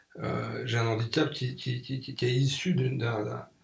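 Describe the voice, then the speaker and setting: A man talks at a moderate pace in a medium pitch. Noticeable background noise runs behind him. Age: 60s. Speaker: magazine publisher and NGO founder. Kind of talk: radio interview. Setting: radio studio.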